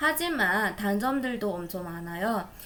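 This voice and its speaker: A woman speaks at a very slow pace with a non-native accent. Her tone is bright and sharp, and the room echo is audible. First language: not Korean (speaking Korean). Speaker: Korean language learner. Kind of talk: practice conversation. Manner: halting.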